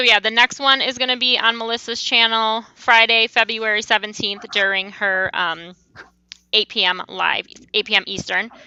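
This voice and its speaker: Loud and bright with a sharp tone, the voice moves at a moderate pace with fairly even intonation, with a dry, close sound, no echo and a quiet background. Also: woman, fairly high pitch for a woman. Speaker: crochet youtuber. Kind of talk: casual chat. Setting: video call.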